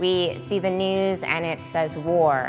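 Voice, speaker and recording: Music plays in the background behind a speaker with an American accent. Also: woman. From Metro Detroit. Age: young. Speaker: keynote speaker. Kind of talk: keynote speech to live audience.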